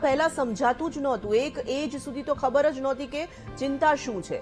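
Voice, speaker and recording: A woman speaks in a high pitch. Music plays in the background. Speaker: news anchor. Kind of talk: TV news read.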